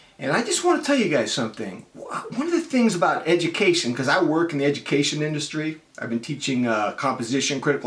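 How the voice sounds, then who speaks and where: Over noticeable background noise, a man with an American accent speaks at a fairly quick pace with ordinary pitch variation. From US West Coast, San Francisco Bay Area. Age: 50s. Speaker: college writing teacher. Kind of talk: casual explanatory talk to students. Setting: home room.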